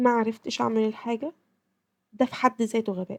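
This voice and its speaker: A woman with an Egyptian accent speaks at a fairly high pitch, her dark, mellow tone caught in a dry, close sound with no echo. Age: 20s. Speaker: podcast host. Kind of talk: casual podcast talk.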